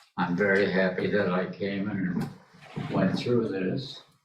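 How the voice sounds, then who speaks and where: Audible room echo surrounds a man's voice. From England. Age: 80s+. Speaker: audience member, wartime evacuee. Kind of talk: testimony. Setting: library talk with audience. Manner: halting.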